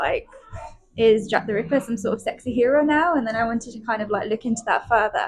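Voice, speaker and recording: A woman talks at a fairly quick pace and a fairly high pitch, with ordinary pitch variation and noticeable background noise. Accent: slight Birmingham. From Birmingham, England. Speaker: PhD student. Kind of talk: casual chat. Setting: cafe.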